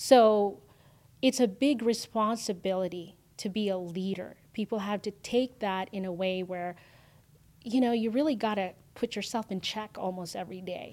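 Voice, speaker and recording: A woman with a Filipino accent at a moderate pace, with ordinary pitch variation, on a very clean recording with a silent background. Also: medium pitch for a woman. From Philippines, then Canada from age ten. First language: Filipino language. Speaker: entrepreneur, agency owner. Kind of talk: interview.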